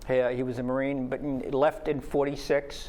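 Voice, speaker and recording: A man speaks with a New York accent. His pitch sits in the medium range. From New York City (Brooklyn). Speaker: retired army officer, retirement community resident. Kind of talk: interview. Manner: halting.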